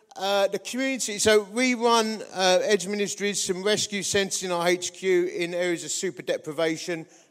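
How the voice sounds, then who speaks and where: A man speaks at a moderate pace with ordinary pitch variation and a high pitch. Noticeable background noise sits behind his voice. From Essex, England. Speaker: preacher. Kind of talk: sermon. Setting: church. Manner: humorous, informal.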